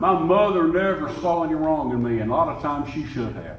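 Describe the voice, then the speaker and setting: In an Alabama accent, a man talks at a moderate pace with lively intonation and fairly high pitch, amid audible room echo and noticeable background noise. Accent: Southern US (Alabama). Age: 70s. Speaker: pastor. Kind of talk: sermon.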